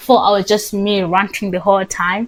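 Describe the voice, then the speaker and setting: Speaking at a moderate pace, a woman uses a plain, everyday voice pitched fairly high. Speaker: vlogger, college student. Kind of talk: casual vlog chat.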